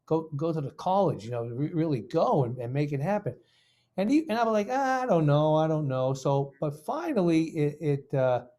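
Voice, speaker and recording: On a very clean recording with a silent background, a man with a fairly high pitch, a dark, mellow tone and an American accent speaks at a moderate pace with lively intonation. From Boston, Massachusetts. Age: 50s. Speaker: guitar professor. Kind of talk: casual interview chat.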